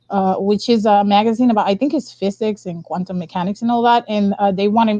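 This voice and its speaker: A woman talks at a fairly quick pace in a Spanish accent. Her pitch is medium, with ordinary variation. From Dominican Republic. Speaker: science communicator, author. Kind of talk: live interview.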